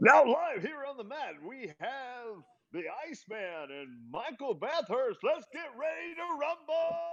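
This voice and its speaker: Using a put-on character voice, a man speaks at a fairly slow pace with an extremely high pitch, very wide pitch swings and big swings in loudness. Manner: booming, showman-like.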